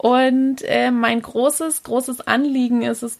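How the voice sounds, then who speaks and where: A woman is speaking. Her pace is very slow. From southern Germany, Pforzheim area. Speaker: early childhood educator and podcaster. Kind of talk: interview.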